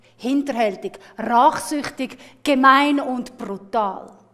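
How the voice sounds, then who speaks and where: A woman with a Swiss accent, very slow pace, and ordinary pitch variation. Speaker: storyteller. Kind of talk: storytelling performance. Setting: live festival with music accompaniment.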